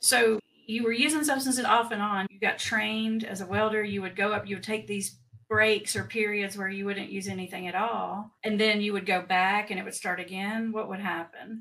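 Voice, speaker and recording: A woman speaks with a Southern US accent at a moderate pace and medium pitch. Her intonation stays fairly even while her loudness swings widely. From Tennessee, US South. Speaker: addiction specialist, podcast host. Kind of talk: interview.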